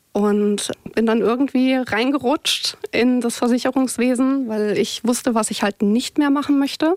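A woman speaks at a high pitch and a fairly slow pace, with hardly any pauses, ordinary pitch variation, very even loudness and a dry, close sound with no echo. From southwestern Germany, near Heidelberg. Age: 30s. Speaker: insurance claims worker. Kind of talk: podcast interview, personal life story.

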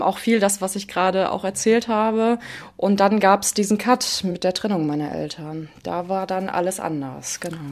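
A woman has a plain, everyday voice, speaking at a medium pitch and a moderate pace with ordinary pitch variation. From Ruhr area, Germany. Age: 20s. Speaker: daughter of a parent with hereditary Alzheimer's. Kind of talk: personal interview. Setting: at home in living room, remote.

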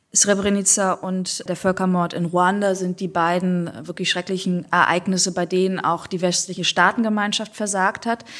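With hardly any pauses, a woman speaks in a flat monotone on a very clean recording with a silent background. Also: medium pitch for a woman, moderate pace. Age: 40s. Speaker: writer. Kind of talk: interview conversation.

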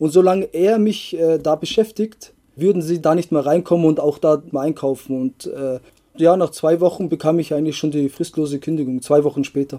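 A man's dark, mellow tone at a fairly high pitch, with ordinary pitch variation. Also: moderate pace, dry, close sound with no echo. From Bavaria, Germany. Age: 30s. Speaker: rapper. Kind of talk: interview. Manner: hesitant with fillers.

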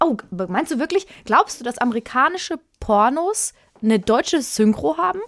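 With very wide pitch swings, a woman speaks at a moderate pace in a high voice. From Germany, Würzburg (Lower Franconia). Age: 30s. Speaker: podcast co-host. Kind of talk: casual chat.

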